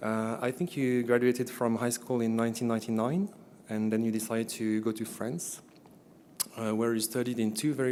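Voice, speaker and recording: A man's medium-pitched, dark, mellow voice with fairly even intonation at a fairly quick pace. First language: French. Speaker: event presenter introducing a speaker. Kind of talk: formal introduction of a guest speaker. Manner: hesitant, many filler words.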